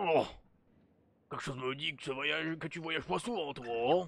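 At a moderate pace, someone uses a put-on character voice with a low-to-middle pitch. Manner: hesitant, halting.

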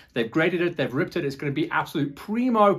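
A man's somewhat breathy voice over a quiet background. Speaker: show host. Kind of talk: show presenting to camera. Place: studio. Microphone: lapel.

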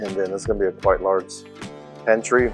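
Ordinary pitch variation over faint background music. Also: man. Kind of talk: casual vlog chat. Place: home room. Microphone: phone near.

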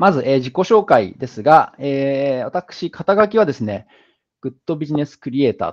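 A plain, everyday voice with lively intonation, moderately paced, over a quiet background. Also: man, fairly high pitch for a man. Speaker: business founder and speaker; speaker. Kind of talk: lecture. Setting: online video call with screen share. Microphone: video call.

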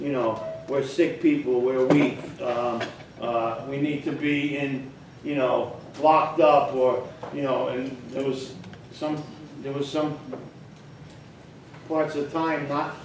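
A man talks at a fairly slow pace with long, frequent pauses. Audible room echo and light background noise sit around him. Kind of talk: casual talk to an online group. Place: home room.

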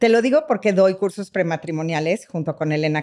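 In a dark, mellow tone, a woman speaks with lively intonation against a quiet background. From Mexico. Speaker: psychotherapist; guest. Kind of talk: interview conversation. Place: studio. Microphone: studio mic.

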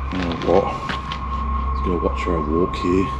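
A man talks at an even, middling speed as loud noise plays behind him. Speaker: urban explorer vlogger. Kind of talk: casual vlog commentary. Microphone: phone near.

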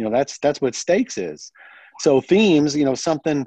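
A man with an American accent, a dark, mellow tone and fairly high pitch at a moderate pace, in a dry sound with no echo and a quiet background. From US small town. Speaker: horror author; interviewee. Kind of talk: interview. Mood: relaxed, conversational. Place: home room. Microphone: video call.

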